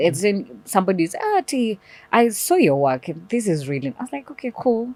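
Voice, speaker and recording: Her pitch swings very widely as this woman talks at a moderate pace, the sound dry and close with no echo. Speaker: voiceover artist. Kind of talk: interview answer.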